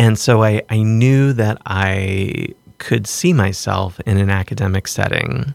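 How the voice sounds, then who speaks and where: With an American accent and a normal speaking voice, a man talks at a fairly low pitch with lively intonation. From US South, southwestern Virginia. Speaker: art gallery director and professor. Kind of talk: casual interview. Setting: studio.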